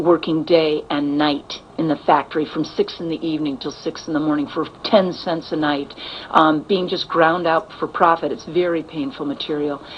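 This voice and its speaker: A woman with a very deep, low pitch and an American accent, fairly quick and monotone with flat intonation, over noticeable background noise. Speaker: actress. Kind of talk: interview. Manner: halting.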